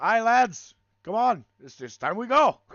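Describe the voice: Putting on a gruff character voice with an Irish accent, a man speaks at an extremely high pitch and a fairly slow pace.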